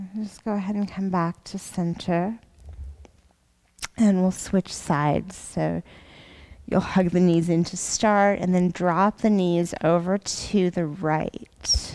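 Soft-spoken and very slow, a woman talks in a medium pitch with a dark, mellow tone and monotone, flat intonation. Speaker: yoga teacher. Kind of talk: guided yoga instruction. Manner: soft-spoken, slow. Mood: calm, soothing bedtime tone. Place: gym.

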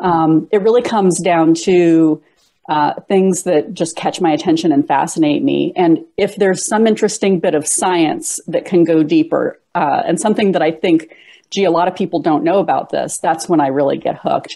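Pitch variation is ordinary and the pace moderate. The background stays quiet. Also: woman, fairly low pitch for a woman. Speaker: interviewee. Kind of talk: interview answer. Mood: animated, amused, enthusiastic. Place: home room. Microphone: earbuds.

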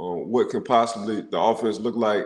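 The speech comes at a moderate pace. Audible room echo is present. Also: man. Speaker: former NFL player and football analyst. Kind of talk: casual sports talk show. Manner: animated, repetitive phrasing. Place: home room. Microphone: video call.

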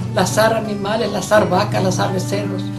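A woman talks at a fairly slow pace over clear music in the background. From Mexico. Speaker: great-grandmother telling her life story. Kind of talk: interview answer. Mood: warm, nostalgic. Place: home room.

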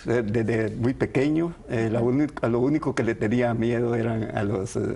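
With vocal fry and a dark, mellow tone, a man talks at medium pitch and a moderate pace with ordinary pitch variation.

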